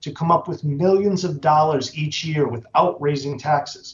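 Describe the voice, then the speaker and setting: Slightly airy delivery, moderately paced, with normal rises and falls in pitch. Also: man. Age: 60s. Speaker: incarcerated person testifying. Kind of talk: legislative testimony. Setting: committee hearing. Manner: formal.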